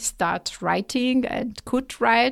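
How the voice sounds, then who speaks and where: A woman speaks with an Italian accent on a very clean recording with a silent background. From Italy. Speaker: team lead in home and living at an online retailer. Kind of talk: casual interview chat. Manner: hesitant, with frequent fillers.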